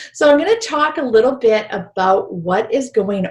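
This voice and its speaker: A woman talks at a fairly slow pace with vocal fry. Her pitch swings very widely. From British Columbia, Canada. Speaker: spiritual healing teacher. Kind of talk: online workshop presentation.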